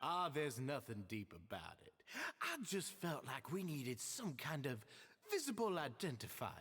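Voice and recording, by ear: Using a put-on character voice with a slightly husky edge, a man talks at a fairly slow pace with big pitch swings. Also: medium pitch for a man.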